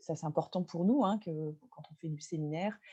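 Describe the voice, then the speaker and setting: A dark, mellow tone, somewhat breathy, with ordinary pitch variation. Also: woman. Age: 40s. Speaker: venue owner and local politician. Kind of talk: webinar presentation. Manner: halting, many filler sounds.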